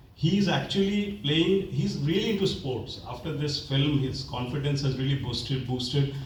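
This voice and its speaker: A man with a Bengali accent talks with hardly any pauses in a fairly high pitch with ordinary variation. Noticeable background noise and audible room echo surround him. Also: moderate pace. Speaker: film director. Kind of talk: Q&A interview. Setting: film festival Q&A. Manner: hesitant, many fillers.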